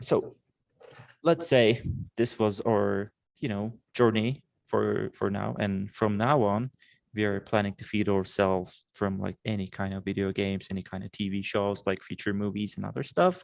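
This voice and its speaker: With a Turkish accent, a man speaks at a moderate pace in a fairly low voice with ordinary pitch variation, in a very clean recording with a silent background. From Turkey, Istanbul. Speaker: animation student and podcast co-host. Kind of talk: casual chat.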